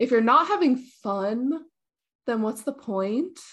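A woman with a Canadian accent has a normal speaking voice and ordinary pitch variation. She talks at a fairly slow pace over a quiet background. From Canada. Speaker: video game streamer. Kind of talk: casual chat.

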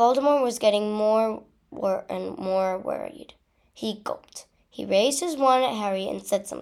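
A natural reading voice, with ordinary pitch variation, sounds over a quiet background.

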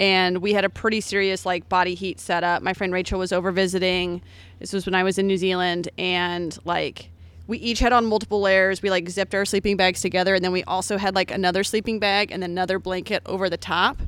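In a very clean recording with a silent background, a woman with an unremarkable speaking voice and medium pitch talks at a fairly quick pace. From US Midwest, Columbia, Missouri. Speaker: comedian. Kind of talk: casual chat. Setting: outdoors in a backyard by a fire.

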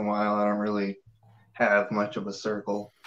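A man speaks at a fairly quick pace and a fairly low pitch. He has an unremarkable speaking voice. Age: 20s. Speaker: caller. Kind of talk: call-in conversation.

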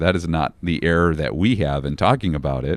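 Very deep, low male voice with vocal fry, lively intonation, and a moderate pace, dry and close with no echo. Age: 40s. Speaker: pastor. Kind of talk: casual chat.

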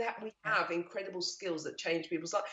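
A woman speaks at a fairly quick pace. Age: 50s. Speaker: business founder and fitness educator. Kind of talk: interview. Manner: animated.

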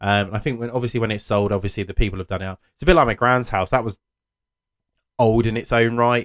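Very fast and fairly low, a man speaks with ordinary pitch variation in a dry, close sound with no echo, on a very clean recording with a silent background. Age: 30s. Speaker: podcast host. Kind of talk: solo monologue. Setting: home office. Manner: halting, many fillers.

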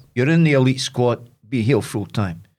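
A man talks at a moderate pace in a medium-pitched voice. His intonation is lively. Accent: Dundee. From Scotland, Dundee. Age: 70s. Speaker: former boxer and sports presenter. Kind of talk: casual interview.

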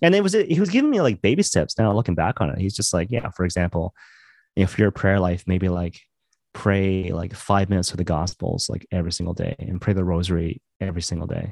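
A man with a western Canadian accent and a very deep, low pitch speaks with fairly even intonation in a very clean recording with a silent background. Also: fairly quick pace, dry, close sound with no echo. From western Canada (Maple Ridge, British Columbia). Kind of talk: casual interview chat. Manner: casual, filler-heavy, laughs often.

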